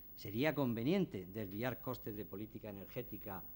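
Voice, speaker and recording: With lively intonation, a man speaks at a medium pitch. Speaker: energy company executive. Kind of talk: conference talk. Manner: drops word endings.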